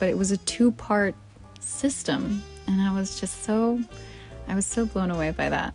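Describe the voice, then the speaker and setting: Over music in the background, a soft-spoken woman talks at a medium pitch with ordinary pitch variation. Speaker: gamer and streamer. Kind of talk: casual talk to camera.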